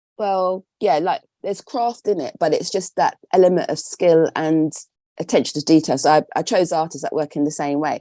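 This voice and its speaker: A woman with an English accent speaks at fairly low pitch and a moderate pace, with ordinary pitch variation, against a quiet background. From England. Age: 60s. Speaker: textile artist. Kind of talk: interview. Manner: conversational.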